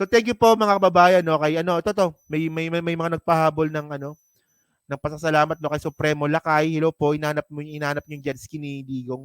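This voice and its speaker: On a very clean recording with a silent background and a dry, close sound with no echo, a fairly high-pitched man talks very fast with ordinary pitch variation. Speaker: political commentary vlogger. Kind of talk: live stream commentary. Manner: casual, conversational.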